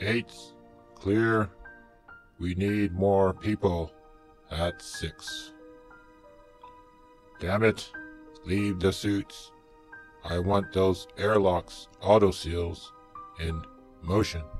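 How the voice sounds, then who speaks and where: A man speaks very slowly in a put-on character voice with a very deep, low pitch, while clear music plays in the background. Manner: urgent, commanding.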